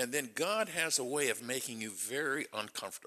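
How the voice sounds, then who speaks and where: A loud man's voice at a medium pitch, bright and sharp in tone. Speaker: church member. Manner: loud and boisterous.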